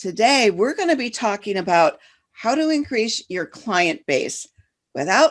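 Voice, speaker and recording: A woman with an American accent, fairly slow pace and very wide pitch swings. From Detroit, Michigan. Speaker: business coach and podcast host. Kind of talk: podcast interview.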